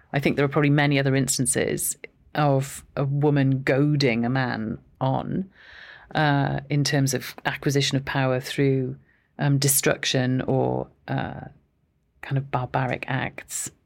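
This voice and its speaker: Speaking fairly slowly with fairly even intonation, a woman with a Welsh accent has a very deep, low-pitched voice. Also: very clean recording, silent background. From Wales, Aberystwyth. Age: 50s. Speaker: professor. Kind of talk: interview.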